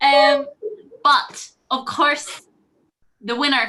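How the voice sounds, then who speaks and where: Raised and projected, a woman's high voice with a bright, sharp tone comes through in a Northern Irish accent. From Northern Ireland, County Antrim. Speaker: student jury spokesperson. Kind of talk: mock Eurovision vote announcement. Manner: enthusiastic.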